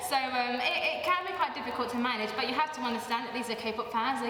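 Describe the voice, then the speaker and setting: Very fast speech with lively intonation comes through audible room echo and noticeable background noise. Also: woman. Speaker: K-pop dance teacher. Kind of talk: interview; dance class instruction. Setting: dance class event. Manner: loud counting over music.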